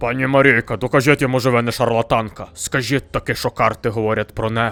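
In a put-on character voice, a man talks at a fairly quick pace. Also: medium pitch for a man. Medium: comedy sketch.

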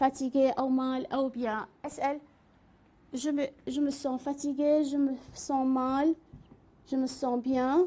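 Speaking at a fairly slow pace, a woman with an Iraqi accent has a high pitch, a dark, mellow tone and a monotone, flat intonation. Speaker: French teacher; French language teacher. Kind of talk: lecture. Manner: halting. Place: studio.

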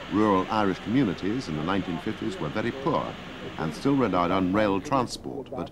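A man speaks at a moderate pace with a fairly low pitch and very wide pitch swings. Noticeable background noise runs underneath. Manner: formal, measured, matter-of-fact; clipped, dry, informative newsreel-style delivery.

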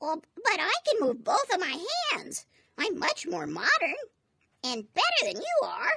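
A cartoonish character voice, extremely high in pitch, at a moderate pace. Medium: puppet.

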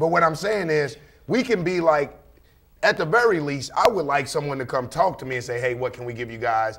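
Fairly quick speech with an animated tone. The intonation is lively. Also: man. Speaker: talk show panelist. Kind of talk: casual discussion. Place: studio. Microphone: studio mic.

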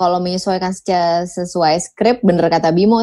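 This woman has a dark, mellow tone and a fairly low pitch. She speaks at a moderate pace with fairly even intonation. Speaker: voice-over talent and former radio announcer. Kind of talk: casual chat.

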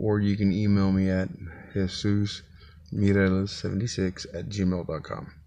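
A man speaks at a very slow pace in a fairly low pitch, with a dark, mellow tone. His intonation stays monotone and flat. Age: 40s. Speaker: vlogger, single father. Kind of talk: casual vlog monologue. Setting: inside his truck. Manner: casual, halting with fillers. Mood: earnest, reflective. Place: car. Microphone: phone near.

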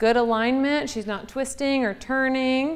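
The voice belongs to a woman. Pitch moves up and down in an ordinary way. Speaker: fitness coach. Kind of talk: tutorial. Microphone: lapel.

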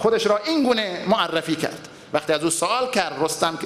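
With audible room echo, a man talks at a fairly quick pace and with ordinary pitch variation. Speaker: preacher. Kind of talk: sermon. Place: church. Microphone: podium.

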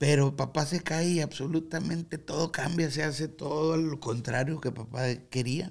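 Hardly pausing, a man speaks at a moderate pace with a somewhat breathy voice, fairly even intonation and very even loudness. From Guadalupe, Nuevo León, Mexico; Nuevo León, Mexico. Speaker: musician; podcast guest. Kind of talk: interview. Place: studio. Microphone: studio mic.

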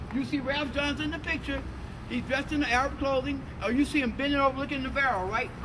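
A man with an American accent speaks in a raised, projected voice at an extremely high pitch, very fast. His intonation stays fairly even over noticeable background noise. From United States. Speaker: civil rights activist, orator. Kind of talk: recollection, interview talk. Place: street. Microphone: camera far.

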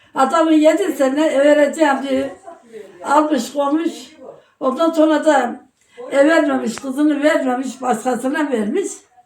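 Audible room echo surrounds a woman speaking in a high pitch at a fairly slow pace, her pitch varying in an ordinary way. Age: 80s+. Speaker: elderly villager. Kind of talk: casual interview chat.

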